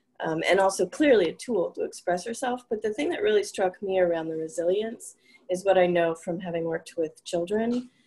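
A woman has a normal speaking voice with a medium pitch. She talks at a fairly quick pace. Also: ordinary pitch variation. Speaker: library technology student. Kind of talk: book club discussion. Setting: video call.

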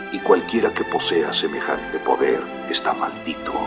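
A moderate pace over clear background music. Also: man. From Mexico. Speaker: voice actor. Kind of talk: dubbed film dialogue. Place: booth. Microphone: studio mic.

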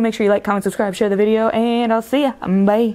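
At a very fast pace, a woman with a fairly high voice talks in a Southern US accent over noticeable background noise. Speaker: gaming video creator. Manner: fast talker.

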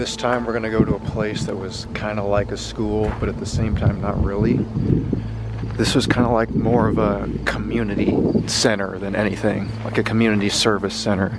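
A man at a moderate pace amid loud background noise, dry with no echo. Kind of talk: casual vlog chat. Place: street. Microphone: phone near.

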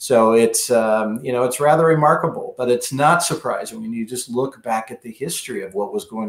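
Male speaker with ordinary pitch variation and audible room echo. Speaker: remote podcast guest, attorney. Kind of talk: interview answer. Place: home room.

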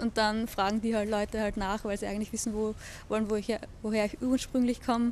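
A woman with a fairly high voice speaks at a moderate pace in a flat monotone, with light noise in the background. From Austria, Lower Austria (Hollabrunn); Lower Austria. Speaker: interviewee. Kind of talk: personal testimony; interview answer. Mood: cheerful, relaxed. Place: garden.

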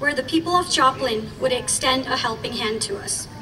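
At a moderate pace, a woman projects a raised voice with a high pitch and lively intonation over light background noise. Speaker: rally speaker, community member. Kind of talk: rally speech, warm and earnest, prepared remarks given to a crowd. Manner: warm, measured, sincere. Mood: earnest, solemn. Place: street.

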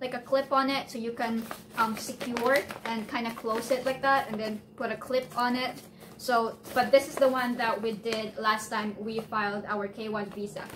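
A woman at a moderate pace, intonation fairly even, over noticeable background noise. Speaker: visa process vlogger. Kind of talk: tutorial. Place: home room. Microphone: phone near.

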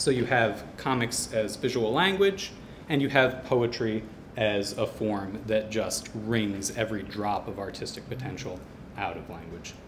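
A man's fairly slow speech with big swings in loudness, ordinary pitch variation, and noticeable background noise. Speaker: comics poet. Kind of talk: short presentation. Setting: stage with audience. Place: hall. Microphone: podium.

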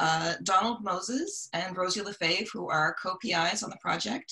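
A woman's voice with ordinary pitch variation against a quiet background. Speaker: webinar host. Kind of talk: webinar introduction. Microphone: video call.

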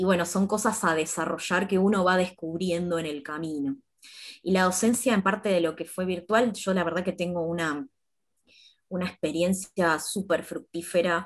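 Against a quiet background, a woman with a fairly low pitch speaks at a moderate pace with fairly even intonation. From Argentina, Campana, Buenos Aires province; Buenos Aires province, Argentina. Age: 30s. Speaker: fashion designer and university lecturer; university lecturer. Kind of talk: panel discussion. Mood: calm, friendly. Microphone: earbuds.

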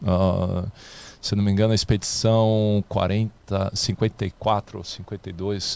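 The tone is dark and mellow, with fairly even intonation. The sound is dry with no echo. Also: man. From Rio de Janeiro, Brazil. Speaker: astronaut candidate and scientist; candidate. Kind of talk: casual interview. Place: studio. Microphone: studio mic.

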